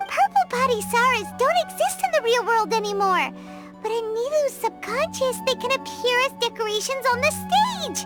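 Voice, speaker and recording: Clear music plays in the background as a cartoonish character voice delivers its lines at a moderate pace. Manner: excitable, chatty.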